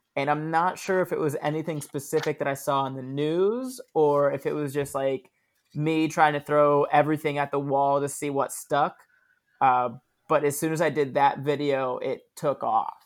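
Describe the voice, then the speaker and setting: A man with a plain, everyday voice and a fairly high pitch speaks at a moderate pace and with fairly even intonation, on a very clean recording with a silent background. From Florida (Daytona Beach). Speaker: comedian. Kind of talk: casual chat.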